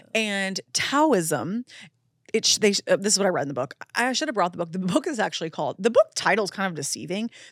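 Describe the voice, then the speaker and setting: Over a very clean, silent background with dry, close sound and no echo, a woman talks very fast at medium pitch with very wide pitch swings. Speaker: podcast host, intuitive medium. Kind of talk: casual chat. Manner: fast talker.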